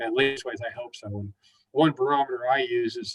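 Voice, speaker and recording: Recorded with a dry, close sound and no echo, a man talks at a moderate pace with fairly even intonation. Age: 60s. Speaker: mental health counselor. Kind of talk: webinar talk. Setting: online webinar. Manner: halting, many fillers.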